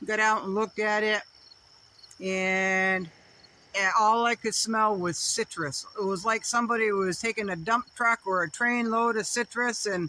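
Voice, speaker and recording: This woman speaks at a fairly slow pace with fairly even intonation. Her fairly high voice has a bright, sharp tone. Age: 50s. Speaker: off-grid homesteader vlogger. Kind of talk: casual vlog monologue. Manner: rambling, conversational.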